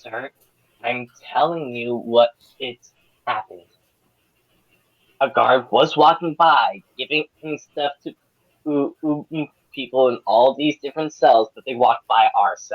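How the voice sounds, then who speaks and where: In a put-on character voice at a low-to-middle pitch, the speaker moves at a moderate pace with long, frequent pauses. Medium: actual play. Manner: rambling, defensive.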